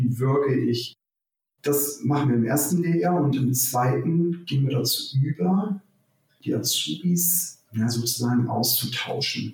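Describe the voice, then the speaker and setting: A man's somewhat breathy, medium-pitched voice at a very slow pace, with ordinary pitch variation. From northern Germany, Hamburg. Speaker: hotel director. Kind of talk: interview.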